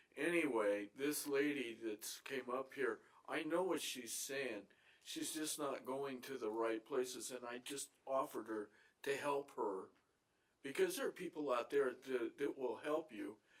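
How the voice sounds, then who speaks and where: A man with a normal speaking voice, ordinary pitch variation and a fairly slow pace. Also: fairly high pitch for a man. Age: 60s. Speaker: public commenter at city council. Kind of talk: public comment at council meeting. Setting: city council chamber.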